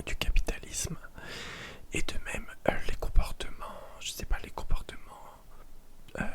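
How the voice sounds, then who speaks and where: A woman whispering at a fairly slow pace, with long, frequent pauses and noticeable background noise. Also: big swings in loudness. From Paris, France. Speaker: ASMR content creator. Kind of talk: whispered ASMR reading of a philosophy text with commentary. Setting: home, window open with possible background noise. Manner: whispered, slow, soft.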